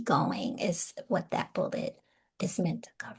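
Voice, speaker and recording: The woman's voice is somewhat breathy and her pace fairly slow. The background is quiet. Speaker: spiritual teacher and psychotherapist. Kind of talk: online teaching talk.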